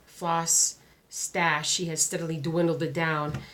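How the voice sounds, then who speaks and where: A woman's fairly low voice with flat, monotone intonation, noticeable background noise and audible room echo. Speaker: crafting vlogger. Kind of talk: casual vlog chat. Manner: halting, many fillers.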